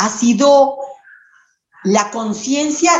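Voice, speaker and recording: A somewhat breathy woman's voice. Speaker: primary school teacher. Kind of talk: interview. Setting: phone call. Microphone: phone mic, computer audio broken.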